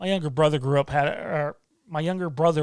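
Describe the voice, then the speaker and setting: The recording is very clean, with a silent background. A man speaks in a fairly high pitch. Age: 30s. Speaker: YouTube channel host. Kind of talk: live stream Q&A. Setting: live stream. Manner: casual, hesitant with fillers.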